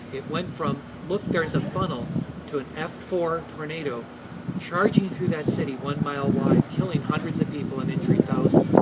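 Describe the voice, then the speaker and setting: A man talks with ordinary pitch variation, his voice carrying audible room echo amid noticeable background noise. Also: fairly high pitch for a man. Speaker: climatology professor. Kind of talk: interview. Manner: fast; animated.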